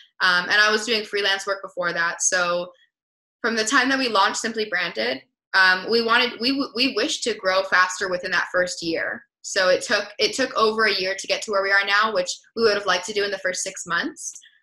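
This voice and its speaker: With an American accent, a woman talks at a fairly quick pace in a bright, sharp tone against a quiet background. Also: ordinary pitch variation. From US West Coast, Los Angeles. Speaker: entrepreneur; guest. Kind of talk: interview. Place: home room. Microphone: webcam.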